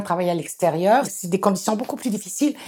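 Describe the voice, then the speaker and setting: A woman speaks at a fairly quick pace in a medium-pitched, somewhat breathy voice with a dark, mellow tone and lively intonation. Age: 60s. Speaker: community organizer. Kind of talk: interview.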